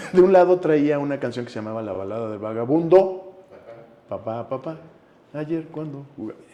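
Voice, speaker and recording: Against noticeable background noise, a man with a fairly high pitch talks at a moderate pace with lively intonation and big swings in loudness. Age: 60s. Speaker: actor. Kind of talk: interview conversation.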